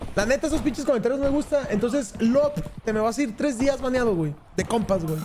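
Amid noticeable background noise, a man speaks very fast in an animated tone, his extremely high pitch showing ordinary variation. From Mexico. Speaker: gaming streamer. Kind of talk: casual gaming chat with friends. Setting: online voice chat. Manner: animated, shouting. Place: home room.

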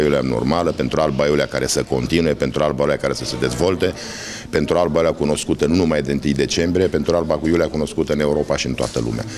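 Against noticeable background noise, a man with a very deep, low pitch talks at a very fast pace with ordinary pitch variation. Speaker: candidate. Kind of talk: interview answer. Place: office. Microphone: handheld.

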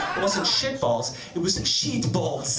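Loud background noise behind a man's moderately paced speech. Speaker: stand-up comedian. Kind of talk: stand-up comedy, bawdy storytelling with acted-out voices of his wife. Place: stage. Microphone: handheld.

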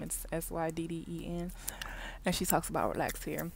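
With light background noise and a dry sound with no echo, a woman speaks at a moderate pace in a fairly low, monotone, flat voice. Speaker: vlogger. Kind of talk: casual vlog chat. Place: car. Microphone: earbuds.

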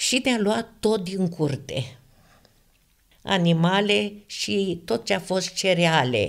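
The pitch swings very widely while the loudness stays very even, with vocal fry throughout. The pace is very slow, and the recording is very clean over a silent background. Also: woman, fairly low pitch for a woman. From Romania, Ialomița county. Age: 80s+. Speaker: religious testimony giver. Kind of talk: testimony.

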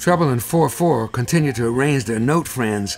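Lively intonation from a man at a moderate pace, with music in the background. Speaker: jazz pianist. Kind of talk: children's cartoon narration.

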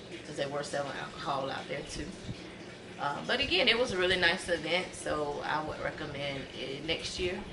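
Noticeable background noise runs through the clip as a woman talks with ordinary pitch variation. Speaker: vlogger. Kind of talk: casual vlog chat. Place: home room. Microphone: phone near.

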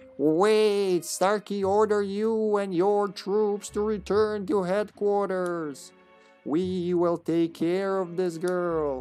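A female-sounding voice at medium pitch puts on a character voice and speaks at a very slow pace. Faint music plays in the background. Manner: authoritative.

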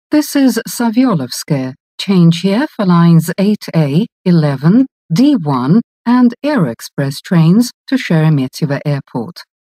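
In a dry, close sound with no echo, a woman speaks very slowly at a fairly low pitch, her pitch swinging very widely. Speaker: metro announcer. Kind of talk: recorded transit announcements. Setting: subway train PA system. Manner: formal.

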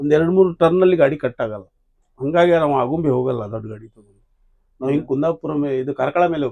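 A man has a normal speaking voice, fairly high in pitch with ordinary pitch variation. His loudness swings widely. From Karnataka, Hubli. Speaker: tourist bus driver. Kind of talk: casual interview.

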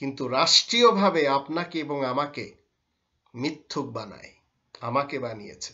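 A man's intonation is lively, and the background is quiet. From Bangladesh. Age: 50s. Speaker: Islamic scholar. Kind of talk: religious lecture. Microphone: webcam.

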